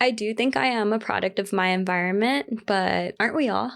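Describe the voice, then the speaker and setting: A woman talks with a Southern California accent and ordinary pitch variation. The recording is very clean, with a silent background. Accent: Valley girl. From US West Coast, San Fernando Valley, Los Angeles. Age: 20s. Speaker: podcast host. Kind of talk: solo podcast monologue. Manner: casual, chatty.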